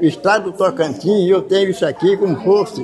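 A man with a high voice is heard over crowd noise in the background. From Goiás, Brazil. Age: 80s+. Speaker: pensioner. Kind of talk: interview answer.

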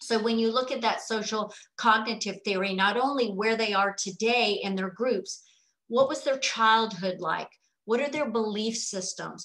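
A woman speaks with a fairly high pitch. Her pace is moderate. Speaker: exercise specialist for older adults. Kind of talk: conference presentation. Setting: video call. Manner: animated. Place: home room. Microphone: video call.

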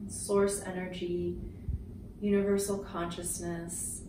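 A soft-spoken woman with a gentle tone speaks very slowly in a flat monotone, with audible room echo and noticeable background noise. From Canada. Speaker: Reiki healer and spiritual coach. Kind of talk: guided Reiki chakra balancing meditation. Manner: soft-spoken, gentle. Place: home room.

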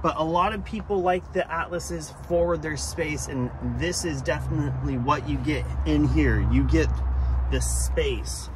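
Dry sound with no echo, noticeable background noise and a fairly slow pace. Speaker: car salesperson. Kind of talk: sales walkaround presentation. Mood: upbeat, friendly sales tone. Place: street. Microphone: phone near.

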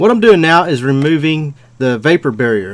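The man speaks at a fairly quick pace. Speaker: auto repair instructor. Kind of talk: tutorial. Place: open country.

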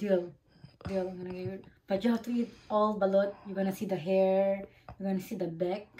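A woman speaks at a medium pitch and a moderate pace, her voice somewhat breathy with a dark, mellow tone. Her intonation stays monotone and flat, broken by long, frequent pauses. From Philippines. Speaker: vlogger. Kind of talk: casual chat.

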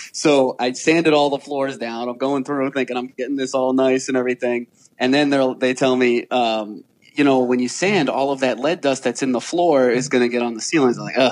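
An unremarkable speaking voice from a man with an American accent, medium pitch, fairly quick pace and fairly even intonation. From Rhode Island, US. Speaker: real estate investor. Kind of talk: interview.

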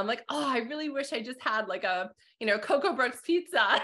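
A woman with a Canadian accent, very fast and lively in intonation. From Calgary, Alberta; Alberta. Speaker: accounting instructor and podcast host; accounting instructor, podcast host. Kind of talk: interview conversation. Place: home room. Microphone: video call.

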